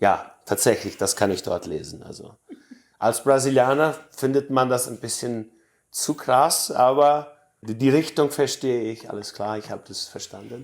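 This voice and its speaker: A man talks at a medium pitch and a fairly slow pace. His pitch variation is ordinary, while his loudness swings widely. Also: very clean recording, silent background. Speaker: Mennonite colony resident. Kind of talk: interview. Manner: halting, with fillers.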